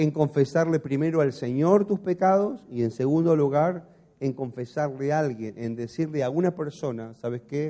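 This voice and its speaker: A man's fairly high voice with a dark, mellow tone, a fairly slow pace and an Argentine accent. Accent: Argentine Spanish (voseo). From Argentina, Patagonia (Caleta Olivia). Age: 40s. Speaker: pastor. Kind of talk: sermon. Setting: church.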